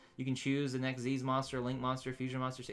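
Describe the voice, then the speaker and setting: This man's pitch sits in the medium range. There is music in the background behind him. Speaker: gaming YouTuber, game designer. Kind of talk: commentary on gaming news. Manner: casual, halting with fillers.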